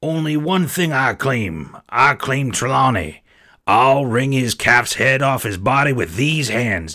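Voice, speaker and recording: A man's raspy, put-on character voice at medium pitch and a fairly slow pace, in a very clean recording with a silent background. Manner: wheedling, boastful, menacing.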